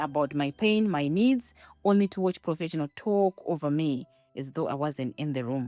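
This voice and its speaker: In a dry, close sound with no echo and music in the background, a woman with a strong non-native accent speaks at a moderate pace with very wide pitch swings. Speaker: podcaster, academic. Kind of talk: personal narrative monologue.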